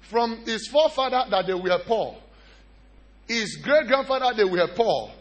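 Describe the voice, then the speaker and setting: This man's voice sits at an extremely high pitch with an animated tone. He keeps a fairly slow pace and ordinary pitch variation. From Nigeria. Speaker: pastor. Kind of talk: sermon. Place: church. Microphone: handheld.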